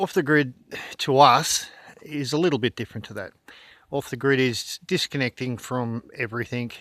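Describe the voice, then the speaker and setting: In an Australian accent, a man speaks at medium pitch and a moderate pace, his loudness swinging widely, on a very clean recording with a silent background. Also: ordinary pitch variation. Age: 60s. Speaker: off-grid homesteader and plumber. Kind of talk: casual video tour.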